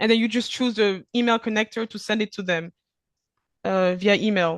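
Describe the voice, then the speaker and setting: A woman with a French accent speaks at a fairly high pitch with fairly even intonation, in a dry, close sound with no echo and a quiet background. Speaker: e-invoicing platform presenter. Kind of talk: webinar Q&A. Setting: video call webinar. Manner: fast; hesitant, many fillers.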